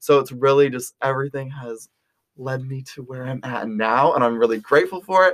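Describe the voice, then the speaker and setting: This man has an American accent and a medium pitch, talking at a fairly quick pace. His tone is energetic, with big swings in loudness. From Texas, Round Rock near Austin. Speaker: college student. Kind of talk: casual chat.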